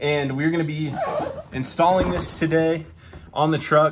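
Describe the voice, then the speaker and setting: Noticeable background noise runs behind a man's voice. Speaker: truck vlogger. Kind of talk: casual vlog chat. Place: garage. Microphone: phone near.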